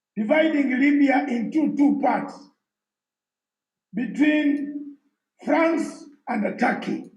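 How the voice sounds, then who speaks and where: With audible room echo around him, a man with an extremely high pitch speaks at a very slow pace, leaving long, frequent pauses, his pitch varying in an ordinary way. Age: 60s. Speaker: former armed rebel leader and political speaker. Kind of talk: live conference discussion.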